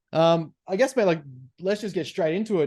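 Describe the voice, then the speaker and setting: A man speaks very fast with an Australian accent, in a dark, mellow tone with ordinary pitch variation. The background is quiet. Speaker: podcast host. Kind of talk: podcast interview.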